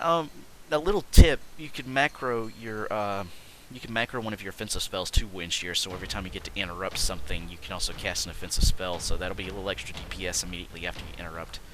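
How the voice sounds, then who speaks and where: With noticeable background noise behind him, a man talks at a very fast pace in a fairly low pitch, with lively intonation and big swings in loudness. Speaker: gaming video creator. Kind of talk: gameplay commentary. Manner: stuttering, many fillers.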